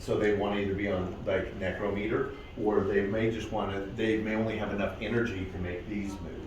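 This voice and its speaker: A man talks at a fairly quick pace in a fairly low voice. The clip has audible room echo and noticeable background noise. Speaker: paranormal investigator leading a ghost hunt. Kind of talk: guided ghost hunt with group, casual. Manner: animated.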